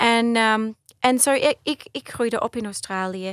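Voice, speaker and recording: A woman with an ordinary speaking voice talks at a fairly slow pace in a dry, close sound with no echo. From Australia (Brisbane), Dutch-speaking home. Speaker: soprano singer. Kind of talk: radio interview, casual chat. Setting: radio studio.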